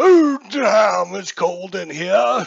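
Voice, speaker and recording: A man in a put-on character voice. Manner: dramatic, in character.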